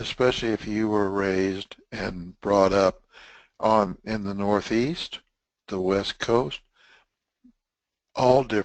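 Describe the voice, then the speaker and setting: Very slowly and with long, frequent pauses, a man speaks in a fairly low voice with fairly even intonation. The sound is dry and close, with no echo. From Texas. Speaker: webinar presenter, test management trainer. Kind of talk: webinar lecture. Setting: online webinar broadcast. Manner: casual, conversational.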